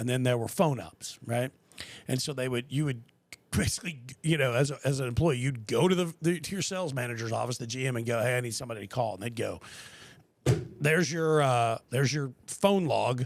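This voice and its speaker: An ordinary speaking voice from a man with an American accent, at a medium pitch. He goes at a fairly quick pace with ordinary pitch variation. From Texas, Austin. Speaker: podcast host. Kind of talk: casual chat.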